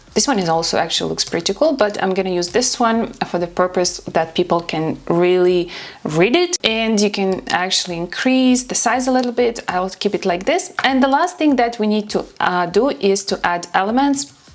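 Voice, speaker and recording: Lively intonation marks this speech in a non-native accent, with hardly any pauses. Noticeable noise runs in the background. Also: woman, medium pitch for a woman, moderate pace. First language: not English. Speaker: social media content creator. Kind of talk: tutorial.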